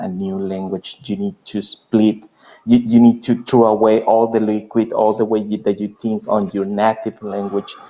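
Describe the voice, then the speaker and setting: Here a man talks at a fairly slow pace with a Spanish accent. His pitch is fairly low, with ordinary variation. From Mexico. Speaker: interviewer. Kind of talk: interview. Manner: halting.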